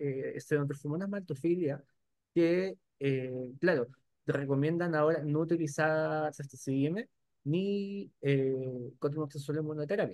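A man has an ordinary speaking voice at a fairly high pitch. He talks at a fairly slow pace with ordinary pitch variation. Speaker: webinar moderator, lab microbiologist. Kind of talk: webinar discussion.

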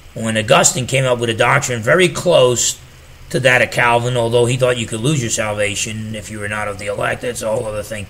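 Very fast and with ordinary pitch variation, a man talks with a New Jersey accent. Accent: New Jersey American. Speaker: pastor and theology teacher. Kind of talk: solo theology lecture. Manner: casual with frequent fillers. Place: home room.

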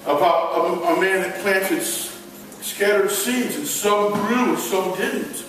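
A man's high voice at a fairly slow pace, in strong room echo with light background noise. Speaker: evangelist and gospel magician. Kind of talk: children's ministry talk with magic demonstration. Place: hall. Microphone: camera far.

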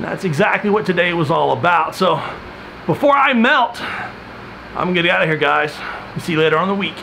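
A man speaks at a fairly quick pace in a high pitch. Light background noise can be heard. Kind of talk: casual vlog chat. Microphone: phone near.

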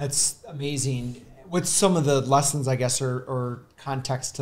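In an American accent, a man speaks at a fairly slow pace. His voice is medium-pitched and somewhat breathy. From US Midwest. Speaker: podcast host. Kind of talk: casual interview. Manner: halting, many fillers. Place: studio. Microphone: studio mic.

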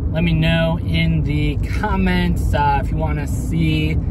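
A man at a very slow pace with ordinary pitch variation, dry sound with no echo, and loud background noise. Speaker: toy collector vlogger. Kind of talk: casual vlog chat. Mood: upbeat, excited. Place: car. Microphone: phone near.

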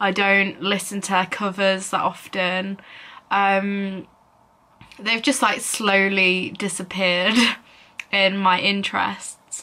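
The woman's intonation is monotone and flat. She leaves long, frequent pauses. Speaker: vlogger. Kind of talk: casual vlog chat. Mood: reflective, slightly wistful. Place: home room. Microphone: phone near.

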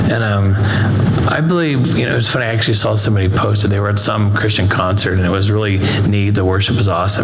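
A man talks at a fairly quick pace in a fairly low voice. Noticeable background noise runs behind him. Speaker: pastor teaching. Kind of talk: sermon. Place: church. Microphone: headset.

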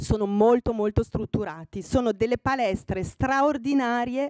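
With a dark, mellow tone, a woman talks at a moderate pace with ordinary pitch variation. The sound is dry with no echo, and the background is quiet. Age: 60. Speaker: fashion magazine editor speaking to students; guest. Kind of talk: talk to master's students. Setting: room with student audience. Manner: hesitant with fillers. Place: hall. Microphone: podium.

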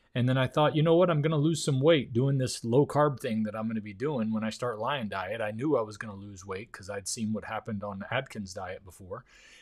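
A man at a fairly quick pace with big swings in loudness, in a quiet background. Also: medium pitch for a man, ordinary pitch variation, hardly any pauses. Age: 50s. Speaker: YouTuber reacting to interview. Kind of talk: video reaction commentary. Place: home room. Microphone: studio mic.

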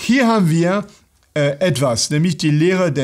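A man with a French accent, high-pitched for a man, with lively intonation against a quiet background. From France. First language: French (speaking German). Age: 60s. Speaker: pastor. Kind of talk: bible teaching talk; lecture. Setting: online video. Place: studio.

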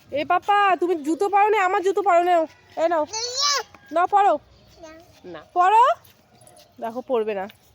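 Amid noticeable background noise, a woman with an extremely high pitch sounds animated, her loudness swinging widely. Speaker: family vlogger. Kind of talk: casual vlog narration to viewers and children. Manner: animated, repetitive calling.

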